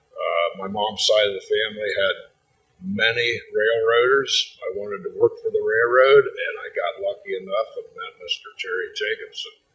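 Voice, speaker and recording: The loudness of this man's voice swings widely. He speaks at a moderate pace. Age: 60s. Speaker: congressional candidate. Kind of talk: town hall forum answer.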